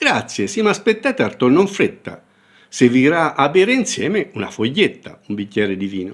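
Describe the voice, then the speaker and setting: Using vocal fry, a man speaks at a moderate pace in a fairly high pitch with very wide pitch swings. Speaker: professor. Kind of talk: dialect poetry reading.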